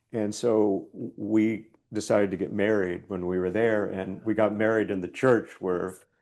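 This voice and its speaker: A man speaks with an American accent at a fairly slow pace. His voice is fairly low, with a dark, mellow tone. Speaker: poet. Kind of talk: casual chat.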